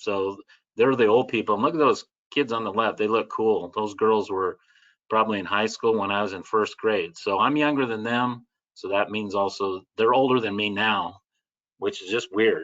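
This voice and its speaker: A man with an American accent and a plain, everyday voice speaks at a moderate pace in a fairly low pitch, with ordinary pitch variation against a quiet background. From Southern California. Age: 60s. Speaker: catechist and author. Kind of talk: webinar presentation. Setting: video webinar. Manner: conversational, many fillers.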